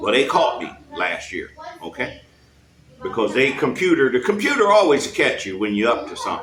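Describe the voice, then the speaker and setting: Speaking at a moderate pace, a man has an animated tone. Audible room echo and noticeable background noise surround him. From United States. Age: 60s. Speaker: expat retiree. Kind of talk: casual interview. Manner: animated storytelling.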